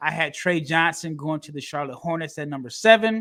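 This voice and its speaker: A man speaks with a fairly high pitch and ordinary pitch variation. His tone is bright and sharp. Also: very clean recording, silent background. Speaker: NBA draft podcast host. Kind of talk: casual podcast chat, draft recap.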